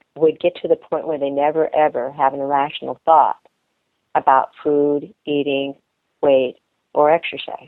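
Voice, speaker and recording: Intonation stays fairly even as a woman talks in a very deep, low pitch. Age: 60s. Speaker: eating disorder dietitian. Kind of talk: podcast interview. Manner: halting.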